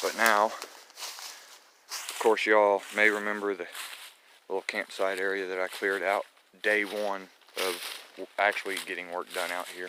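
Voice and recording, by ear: A man's low voice with a bright, sharp tone, fairly slow delivery, little pitch movement, and long, frequent pauses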